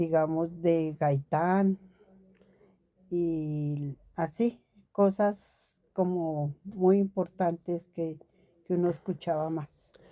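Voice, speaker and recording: On a very clean recording with a silent background, a woman with a fairly low pitch and a dark, mellow tone speaks at a very slow pace, with fairly even intonation and long, frequent pauses. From Colombia, Bogotá. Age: 70s. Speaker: retired secretary. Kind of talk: interview. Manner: halting, with fillers.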